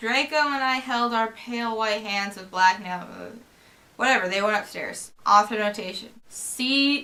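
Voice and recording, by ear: Someone reads aloud in a natural voice. The text is delivered that way throughout.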